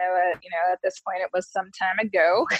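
An unremarkable speaking voice, a woman of medium pitch with an American accent uses fairly even intonation in a dry, close recording with no echo. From Detroit area, Michigan. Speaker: communications director and former beauty queen. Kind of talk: casual interview.

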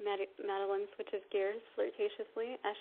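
Someone reads aloud. The voice is natural.

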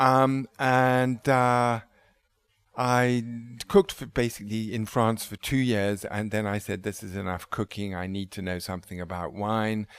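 A man with an English accent talks at a fairly slow pace, his fairly low pitch held in fairly even intonation, on a very clean recording with a silent background. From England. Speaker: wine bar owner. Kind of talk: interview. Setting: restaurant. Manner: halting.

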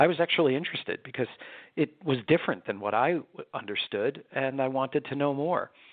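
A man with an American accent has a plain, everyday voice and a fairly high pitch. He speaks at a fairly quick pace with ordinary pitch variation. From New York. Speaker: pediatrician. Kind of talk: interview.

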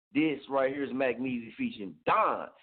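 An American-accented man speaks at a moderate pace in a medium pitch. His tone is animated, with ordinary pitch variation. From Oklahoma (Muskogee). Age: 30s. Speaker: internet radio host. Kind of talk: casual radio show talk. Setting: studio.

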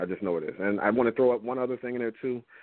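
American-accented male speech with ordinary pitch variation. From Philadelphia. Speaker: photographer. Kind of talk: interview.

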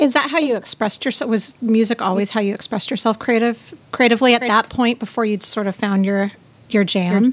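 In a plain, everyday voice, a woman speaks at a fairly quick pace, her fairly high pitch showing ordinary variation. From Southern California. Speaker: podcast host. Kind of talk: casual interview.

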